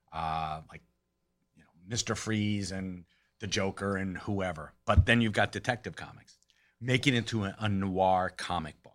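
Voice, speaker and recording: Fairly low in pitch with ordinary pitch variation, a man with an ordinary speaking voice talks at a moderate pace with big swings in loudness, in a very clean recording with a silent background. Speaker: podcast co-host. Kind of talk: casual banter podcast.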